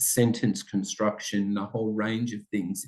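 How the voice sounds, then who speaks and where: With an Australian accent, a man talks in a fairly low voice, his intonation monotone and flat. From Australia, Italian-speaking family. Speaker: school principal. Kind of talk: interview.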